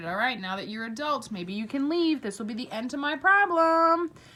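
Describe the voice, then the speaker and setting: Putting on a gruff character voice, a woman speaks in a grumpy tone, raised and projected, high in pitch, at a moderate pace. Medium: read story. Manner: gruff, grumpy.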